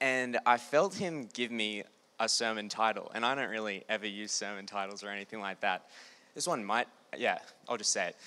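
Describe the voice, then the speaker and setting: Recorded very cleanly against a silent background, a man speaks at a fairly quick pace in a bright, sharp tone at medium pitch with ordinary pitch variation. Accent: Australian. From Australia, New South Wales (Newcastle). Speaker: Bible school student. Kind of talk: testimony talk. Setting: stage with audience.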